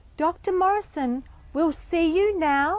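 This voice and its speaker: Quiet and fairly slow, a woman puts on a character voice pitched extremely high. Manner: hushed.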